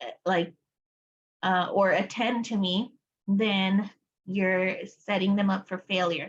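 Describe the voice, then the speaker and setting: A woman speaks with a Spanish accent at a medium pitch, somewhat breathy. Her intonation stays fairly even. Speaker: applied behavior analysis educator. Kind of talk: study group lecture. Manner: casual, many fillers.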